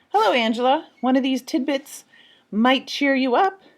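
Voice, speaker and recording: Putting on a character voice, a woman speaks at a high pitch and moderate pace with lively intonation and very even loudness. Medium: read story. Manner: courteous, reserved.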